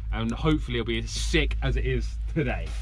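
Clear background noise sits behind a man of medium pitch talking at a fairly quick pace.

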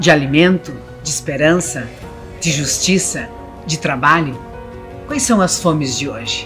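With clear music in the background, a woman speaks in a very deep, low pitch at a fairly slow pace, with long, frequent pauses. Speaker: union representative, event host. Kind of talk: event opening speech. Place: hall.

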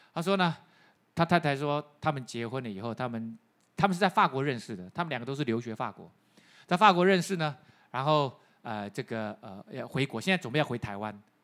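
Against a quiet background, a man speaks at a fairly quick pace with lively intonation, big swings in loudness, and long, frequent pauses. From Taiwan. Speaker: pastor. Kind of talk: sermon. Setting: church. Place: church. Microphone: handheld.

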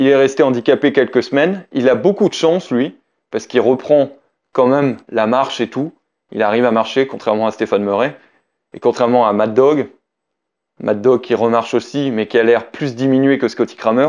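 Medium-pitched male speech at a moderate pace, with ordinary pitch variation, long, frequent pauses and a quiet background. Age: 30s. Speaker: BMX rider and YouTuber; YouTuber. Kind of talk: casual talk to camera. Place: home room.

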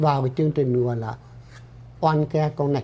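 The man's voice is somewhat breathy, with a dark, mellow tone. His pitch is fairly high, with ordinary variation. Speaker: doctor and clinic director. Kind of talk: informational health-group presentation. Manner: formal. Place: studio. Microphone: lapel.

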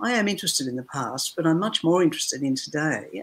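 Lively intonation in a woman's fairly low voice. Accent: Australian. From Australia. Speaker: novelist. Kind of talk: interview. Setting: video call. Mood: thoughtful, reflective. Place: home room.

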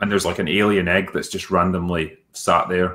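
This man has a fairly low pitch and speaks with a Scottish accent. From Scotland. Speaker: film critic, streamer. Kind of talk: casual conversation.

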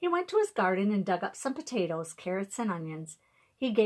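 Someone is reading aloud in a natural voice. The delivery stays that way throughout.

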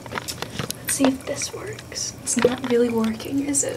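A woman is speaking. She whispers. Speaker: YouTuber. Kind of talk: comedic parody ASMR video. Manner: whispered. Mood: jokey, self-mocking. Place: bathroom. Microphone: phone near.

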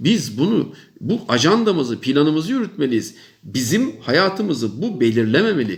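Speaking at a moderate pace, a man with a fairly high pitch makes very wide pitch swings while keeping his loudness very even. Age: 50s. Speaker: professor. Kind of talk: monologue advice talk to young people. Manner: emphatic, repetitive.

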